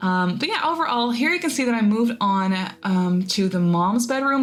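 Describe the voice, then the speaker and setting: Over noticeable background noise and audible room echo, a woman with a non-native accent speaks at a fairly high pitch with lively intonation. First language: not English. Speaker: gaming YouTuber. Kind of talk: voiceover narration of a game build. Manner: casual, rambly with fillers.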